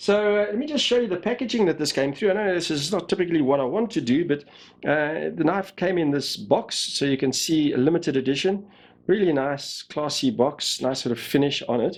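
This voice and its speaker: A man at a high pitch with lively intonation and a fairly quick pace, on a very clean recording with a silent background. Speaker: knife reviewer. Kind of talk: product review. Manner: casual, hesitant with many uh fillers.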